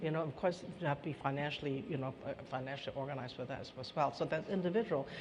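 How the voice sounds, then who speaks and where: Very fast speech with noticeable background noise. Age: 70s. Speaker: ageing policy expert. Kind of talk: panel discussion.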